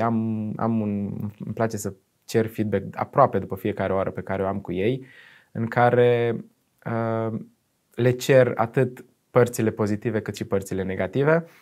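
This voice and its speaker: This man talks at a moderate speed. There is no noise behind him. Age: young. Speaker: university lecturer. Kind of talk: interview. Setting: studio. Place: studio.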